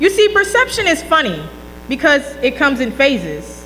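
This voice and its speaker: A woman with an American accent speaks in a raised, projected, high voice with very wide pitch swings and an animated tone. Noticeable background noise and audible room echo surround her. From North Carolina, Fayetteville. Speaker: graduating student speaker. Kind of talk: speech. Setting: banquet hall with audience, mic. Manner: loud.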